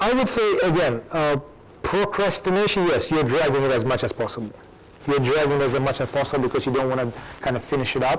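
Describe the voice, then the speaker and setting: Against noticeable background noise, a man talks at a very fast pace and fairly high pitch, his intonation lively and his loudness very even. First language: Russian. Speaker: academic with PhD. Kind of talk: audience Q&A. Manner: hesitant, repetitive.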